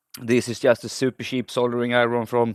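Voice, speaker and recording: A man at a very fast pace and medium pitch, with a dry, close sound with no echo and a quiet background. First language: not English. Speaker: hobbyist electronics repairer. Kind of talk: voice-over narration of repair video. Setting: home workbench. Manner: halting, with self-corrections; casual.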